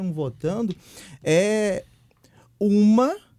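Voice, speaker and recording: With a Minas Gerais accent, a man talks in a dark, mellow tone. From Brazil, Minas Gerais (Viçosa). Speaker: guest speaker. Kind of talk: podcast discussion.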